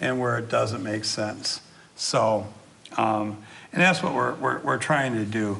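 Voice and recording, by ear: A man speaks slowly at a medium pitch, with vocal fry and a bright, sharp tone. His pitch varies in an ordinary way, and there is audible room echo.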